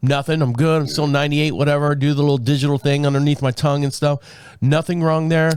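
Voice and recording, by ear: A man speaks fast at a fairly high pitch with little pitch movement, his raspy voice carrying a slightly mellow yet clear, smooth tone.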